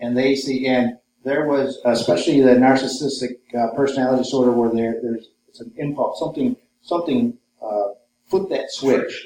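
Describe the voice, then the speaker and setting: Speaking with an American accent, a man uses a normal speaking voice at medium pitch, a moderate pace and fairly even intonation. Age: 50s. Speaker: author and researcher. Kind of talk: lecture.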